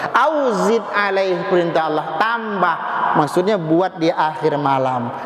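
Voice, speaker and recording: A man with a Medan accent speaks very slowly, high in pitch, with lively intonation and very even loudness. There is audible room echo and noticeable background noise. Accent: Medan accent, loud voice. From Medan, North Sumatra. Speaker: preacher. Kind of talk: sermon. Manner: animated.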